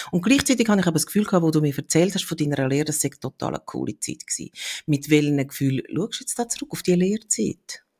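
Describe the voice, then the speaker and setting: In a dry, close sound with no echo, a woman speaks very fast in a fairly low, somewhat breathy voice with a dark, mellow tone and very wide pitch swings. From Switzerland. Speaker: podcast host. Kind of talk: casual interview conversation.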